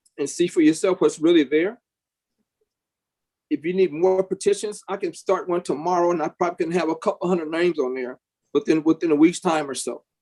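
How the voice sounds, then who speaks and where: A man with an American accent, high-pitched for a man, with ordinary pitch variation, big swings in loudness, long and frequent pauses, and a dry, close sound with no echo. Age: 60s. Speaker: small business owner speaking at public hearing. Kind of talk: public comment at city commission hearing. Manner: halting, repeats words.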